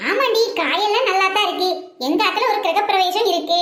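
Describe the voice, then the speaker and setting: A woman puts on a cartoonish character voice at a moderate pace, with a slight echo in the sound. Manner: teasing, gossipy, calls the seller "di".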